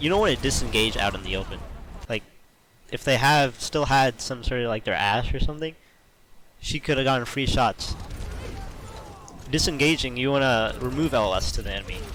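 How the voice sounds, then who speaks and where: With noticeable background noise behind him, a man speaks at a fairly quick pace in a medium pitch with ordinary pitch variation and long, frequent pauses. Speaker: video game coach. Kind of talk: game replay review commentary.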